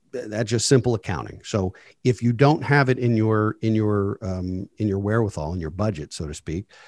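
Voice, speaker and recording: A man with a plain, everyday voice and a fairly low pitch uses lively intonation, recorded very cleanly against a silent background with a dry, close sound and no echo. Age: 40s. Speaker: financial advisor and wealth manager. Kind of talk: interview on personal finance.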